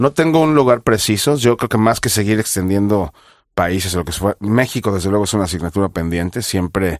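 A man's plain, everyday voice, fairly low-pitched and fairly quick, with lively intonation, in a dry, close sound with no echo and a very clean recording over a silent background. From Mexico, Mexico City. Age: 40s. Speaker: chef. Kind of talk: interview.

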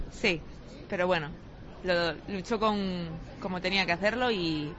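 There is audible room echo around a woman whose fairly low pitch carries fairly even intonation. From Spain, Galicia (Pontevedra). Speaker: Olympic sailor. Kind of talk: interview. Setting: airport.

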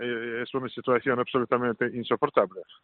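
This man speaks with a Russian accent. His pitch is medium. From Russia, Saint Petersburg. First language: Russian (speaking Spanish). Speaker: Orthodox priest. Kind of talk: interview. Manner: halting, many fillers.

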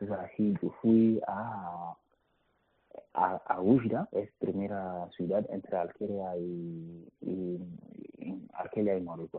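A man with a very deep, low voice speaks very slowly, his intonation fairly even. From Mali. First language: not Spanish (speaking Spanish). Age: 20s. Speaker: migrant. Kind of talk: interview testimony. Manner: halting, repeats words.

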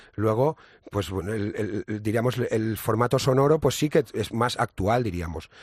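With a dry, close sound, no echo, and a very clean recording against a silent background, a man speaks at medium pitch and a fairly slow pace, with ordinary pitch variation. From Ibiza, Spain. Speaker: musician in a band. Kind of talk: casual interview. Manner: halting, repeats words.

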